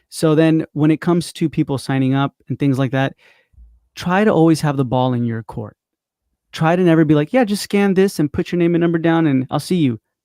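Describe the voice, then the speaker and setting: A man with a fairly high pitch and a dark, mellow tone talks at a fairly quick pace with ordinary pitch variation. The recording is very clean and dry, close with no echo, with a silent background. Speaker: marketing coach. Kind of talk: casual interview chat. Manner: fast.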